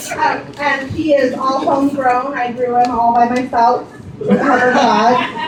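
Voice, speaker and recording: Over noticeable background noise, a woman talks at a fairly slow pace. Her high voice keeps a fairly even intonation. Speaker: pastor leading the service. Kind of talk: casual introduction and prayer in church.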